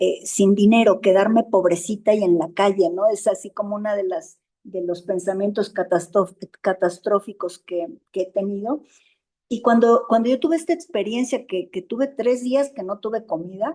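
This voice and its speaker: Speaking with a Mexican accent, a woman has a dark, mellow tone at medium pitch. Her pace is moderate and her pitch variation ordinary. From Mexico. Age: 60s. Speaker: support group member. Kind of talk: interview. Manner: halting.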